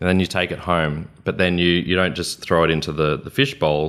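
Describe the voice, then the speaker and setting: On a very clean recording with a silent background, a man with an Australian accent speaks at a fairly quick pace in a very deep, low pitch with fairly even intonation. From Queensland, Australia. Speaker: business consultant. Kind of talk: interview. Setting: studio.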